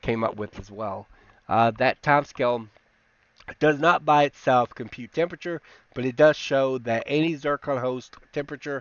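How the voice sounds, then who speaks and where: This man speaks at a moderate pace. His pitch varies in an ordinary way. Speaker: apologetics channel host. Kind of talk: technical rebuttal presentation. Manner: halting, many fillers.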